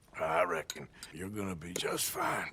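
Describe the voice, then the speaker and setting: A man's put-on character voice, raspy and very deep and low, at a moderate pace. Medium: video game. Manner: gruff, halting.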